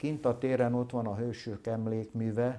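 A man speaks at a fairly slow pace in a dark, mellow tone. His intonation stays monotone and flat. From Hungary, Solymár. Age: 70s. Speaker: decorative painter and gilder. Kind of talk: interview.

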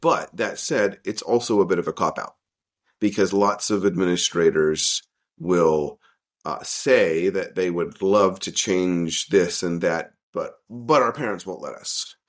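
A man with an American accent in a normal speaking voice, fairly low in pitch with ordinary variation, at a fairly slow pace on a very clean recording with a silent background. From US South (Arkansas), teens in Vietnam. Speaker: international school principal and researcher. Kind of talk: interview.

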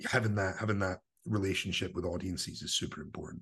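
A man with a central Scottish accent talks at a fairly quick pace and fairly low pitch. His voice is somewhat breathy, over a quiet background. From Scotland, Livingston (West Lothian). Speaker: spoken word producer and performance poet. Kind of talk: casual interview. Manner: animated.

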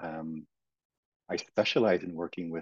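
The man's pitch is very deep and low, his pace moderate. The sound is dry and close with no echo. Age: 50s. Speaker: somatic therapist and coach. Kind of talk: casual chat. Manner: halting, many fillers and repetitions.

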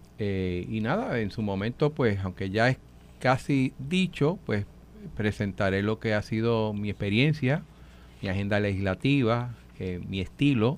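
Using a plain, everyday voice, a man speaks at a fairly slow pace with a fairly low pitch and ordinary pitch variation. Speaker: legislator. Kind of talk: radio panel discussion.

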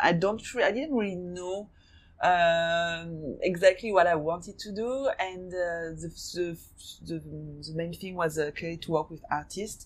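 A very slow pace in a French accent. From France, raised in Hong Kong from 15. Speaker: fashion designer and gallery owner. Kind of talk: interview. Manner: halting, many fillers.

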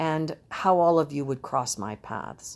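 On a very clean recording with a silent background, a woman talks at a fairly slow pace in a very deep, low pitch with ordinary pitch variation. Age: 60s. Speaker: podcast host and marriage and family therapist. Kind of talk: reflective monologue. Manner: hesitant, with frequent fillers.

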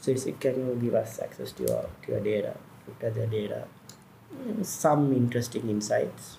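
A man's voice carries audible room echo. Noticeable background noise is also present. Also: moderate pace. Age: 40s. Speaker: entrepreneur, former advertising executive. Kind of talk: casual interview chat.

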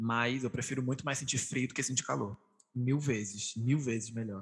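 A man's somewhat breathy voice at medium pitch, moderate pace and ordinary pitch variation. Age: 20s. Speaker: podcast host. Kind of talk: casual chat.

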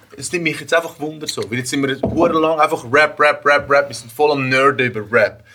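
Against noticeable background noise, a man with a fairly high-pitched voice talks at a moderate pace with fairly even intonation and hardly any pauses. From Zürich Oberland, Switzerland. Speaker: rapper. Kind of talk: casual chat.

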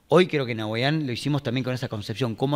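A man is speaking. His pitch is medium. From Argentina, Pergamino (Buenos Aires province interior). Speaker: tech company CEO and entrepreneur. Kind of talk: casual interview. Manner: energetic.

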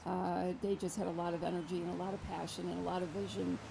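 Against noticeable background noise, a woman talks at a moderate pace with an American accent. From New York. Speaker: senior center director. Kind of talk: casual chat. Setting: outdoors.

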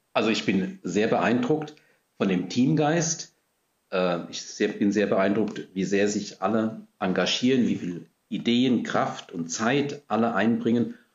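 This man talks at a very slow pace. His medium-pitched voice has lively intonation. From Germany, Rhine-Hesse region (Gernsheim am Rhein). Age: 60s. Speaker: parish priest. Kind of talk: interview. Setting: in-person recording, seated far apart.

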